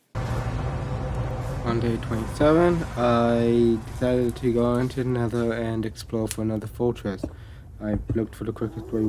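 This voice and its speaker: The pace is fairly slow. There is noticeable background noise throughout. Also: man. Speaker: gaming video narrator. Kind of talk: gameplay voice-over. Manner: monotone.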